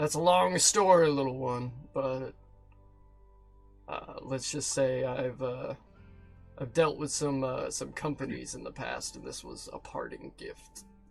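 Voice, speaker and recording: A man puts on a raspy character voice at a medium pitch, his loudness swinging widely. He talks at a fairly slow pace with long, frequent pauses over faint background music. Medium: actual play. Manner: crude, profane, blunt.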